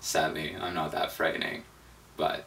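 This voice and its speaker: A man at a moderate pace amid noticeable background noise and audible room echo. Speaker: vegan travel video maker, language tutorial. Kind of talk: tutorial. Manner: mumbling.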